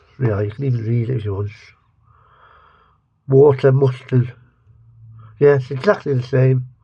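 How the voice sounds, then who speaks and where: With an English accent, a man of medium pitch speaks at a moderate pace in a somewhat breathy, dark, mellow tone, keeping his intonation fairly even and taking long, frequent pauses. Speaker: food reviewer. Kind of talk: casual taste-test review to camera. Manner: rambling, self-interrupting.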